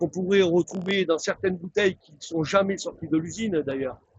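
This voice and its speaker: The audio is dry and close, without echo. The speaker is a man. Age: 60s. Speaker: glassworks factory worker. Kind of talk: interview. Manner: animated.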